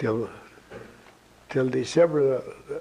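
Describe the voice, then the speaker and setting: A fairly high-pitched man with an American accent, over noticeable background noise. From rural Colorado. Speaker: war veteran. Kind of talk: interview answer.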